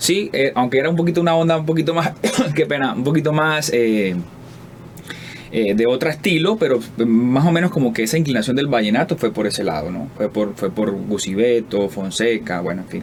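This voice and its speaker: A man with a medium pitch talks at a fairly quick pace with very wide pitch swings. Noticeable background noise sits behind him. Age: 30s. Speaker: singer-songwriter. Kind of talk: interview. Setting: studio. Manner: halting.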